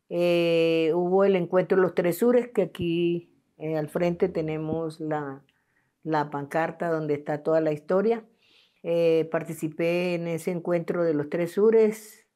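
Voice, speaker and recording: A woman's fairly low, dark, mellow voice at a fairly slow pace, in a very clean recording with a silent background. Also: fairly even intonation. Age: 70s. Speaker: peasant land rights activist. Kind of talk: interview testimony.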